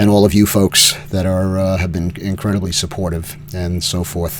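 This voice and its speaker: Over noticeable background noise, a man speaks at a moderate pace in a very deep, low pitch. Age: 70s. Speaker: cancer patient vlogger. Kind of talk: personal video update. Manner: halting, many fillers.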